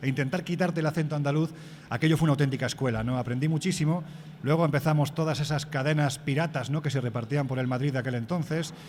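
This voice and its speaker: A somewhat breathy man talks at a very fast pace, fairly high-pitched with fairly even intonation. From Andalusia, Spain. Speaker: magazine editor and radio commentator. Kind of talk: interview.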